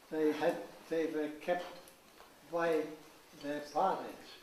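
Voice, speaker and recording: A man's high-pitched voice sounds out with noticeable background noise and audible echo from the room. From Czechoslovakia (Moravia/Brno family). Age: old. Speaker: war veteran. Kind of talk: Q&A with students. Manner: halting.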